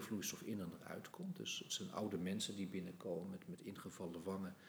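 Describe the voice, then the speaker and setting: The clip features an ordinary speaking voice, with pitch that shows ordinary pitch variation. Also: man. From Netherlands, Utrecht. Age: 60s. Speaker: anatomy professor. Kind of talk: podcast interview.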